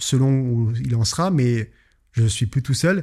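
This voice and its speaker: A man speaks with a dark, mellow tone at a medium pitch. His voice is somewhat breathy, with ordinary pitch variation. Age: 20s. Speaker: podcast host and business owner. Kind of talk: solo podcast monologue. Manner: casual, hesitant with fillers.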